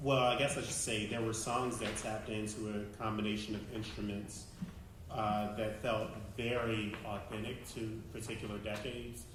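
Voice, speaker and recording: Flat, monotone intonation with noticeable background noise and audible room echo. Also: man. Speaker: music industry panelist giving feedback. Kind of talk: live feedback critique to performers.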